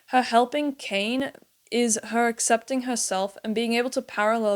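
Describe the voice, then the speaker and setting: A woman's normal speaking voice at a moderate pace with fairly even intonation, in a very clean recording with a silent background. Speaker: video essayist on animated series. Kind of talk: commentary video essay.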